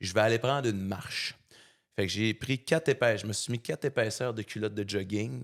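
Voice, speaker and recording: On a very clean recording with a silent background and a dry, close sound with no echo, a man with a Saguenay–Lac-Saint-Jean accent speaks fairly quickly at a fairly low pitch with ordinary pitch variation. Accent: Saguenay Quebec French accent, noticeable. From Quebec, Saguenay. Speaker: fitness coach and motivational speaker. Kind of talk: podcast interview, personal story. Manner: casual, colloquial, with many fillers.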